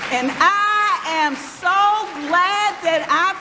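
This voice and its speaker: A woman speaks in a raised, projected voice, with audible room echo around her. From US South, Georgia (Lithonia). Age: 70s. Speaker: former mayor, speaker. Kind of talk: public speech.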